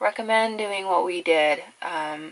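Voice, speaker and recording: A woman talks in a relaxed tone. Her pace is fairly slow, with ordinary pitch variation. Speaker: makeup vlogger. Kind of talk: casual get-ready-with-me chat. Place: home room.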